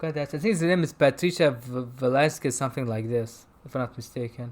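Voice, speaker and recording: A man with a medium pitch and a non-native accent, ordinary pitch variation and a moderate pace. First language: not English. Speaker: film review show host. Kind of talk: casual chat. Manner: halting.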